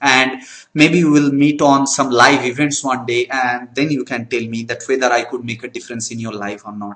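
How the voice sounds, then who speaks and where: With a Bengali accent, a man talks at a moderate pace and medium pitch, his intonation fairly even while his loudness swings widely. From Bengal, India. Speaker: network marketing trainer. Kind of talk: training talk. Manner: halting.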